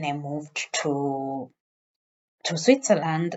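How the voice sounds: A woman speaks in a very deep, low voice with a Kenyan accent.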